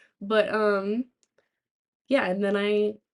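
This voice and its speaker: Her pace is very slow. The woman's intonation is fairly even. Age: 20s. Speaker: streamer. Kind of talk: casual live stream chat. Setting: live stream from laptop. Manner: halting, many fillers. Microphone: laptop mic, own mic not brought.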